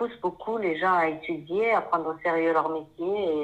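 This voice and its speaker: At a fairly slow pace, a woman talks in a plain, everyday voice, fairly low in pitch with fairly even intonation. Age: 50s. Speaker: painter, former pharmacist. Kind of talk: interview.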